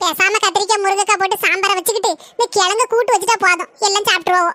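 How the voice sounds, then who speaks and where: In a cartoonish character voice, a woman speaks at an extremely high pitch and a fairly quick pace, with fairly even intonation, very even loudness and a dry, close sound with no echo. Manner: chatty, complaining.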